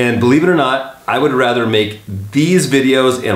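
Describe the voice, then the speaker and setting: A man talks at a fairly quick pace with ordinary pitch variation and a medium pitch. Noticeable background noise sits behind him. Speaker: video editor and voice actor turned real estate agent. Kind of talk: casual talk to camera, tutorial. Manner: conversational, friendly, informal.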